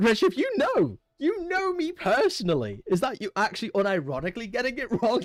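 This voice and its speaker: Pitched extremely high, a man moves at a fairly quick pace with hardly any pauses. His pitch swings very widely. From UK. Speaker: game designer and streamer. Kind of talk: casual live stream chat. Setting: live stream.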